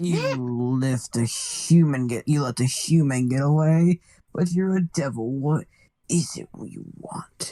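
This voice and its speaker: A put-on character voice at a low-to-middle pitch. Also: fairly slow pace. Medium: fan dub. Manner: haughty, menacing, theatrical.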